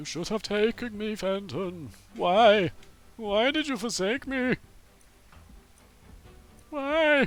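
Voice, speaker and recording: This is a put-on character voice, fairly high in pitch. It moves at a very slow pace with long, frequent pauses. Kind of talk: dramatic. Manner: wailing, reproachful.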